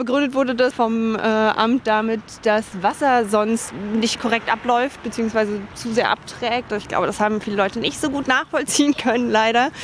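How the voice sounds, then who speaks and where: A woman talks at a moderate pace and a fairly high pitch. Noticeable background noise can be heard. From Bavaria, Dachau near Munich. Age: 30s. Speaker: politician. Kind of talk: walking interview. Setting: outdoors.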